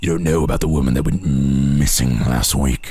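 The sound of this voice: A man does a put-on character voice, guttural and strained, at a very deep, low pitch. He keeps a moderate pace.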